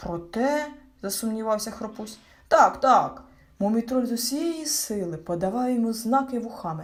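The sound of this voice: The clip features speech. It is an unforced reading voice.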